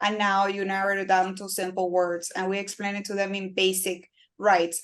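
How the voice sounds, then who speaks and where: This woman has a Spanish accent and a medium pitch. Her intonation stays flat and monotone. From Cuba. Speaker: personal injury lawyer. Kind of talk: interview.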